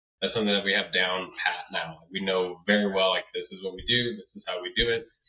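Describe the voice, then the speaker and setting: The man's loudness swings widely as he talks at a fairly quick clip. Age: 20s. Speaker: landscaping business owner. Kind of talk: interview. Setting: podcast.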